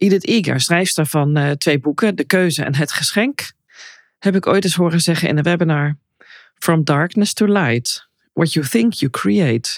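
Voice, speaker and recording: In a very clean recording with a silent background and a dry, close sound with no echo, a woman with a very deep, low pitch speaks at a fairly slow pace with lively intonation. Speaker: personal coach and podcast host. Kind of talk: solo podcast monologue.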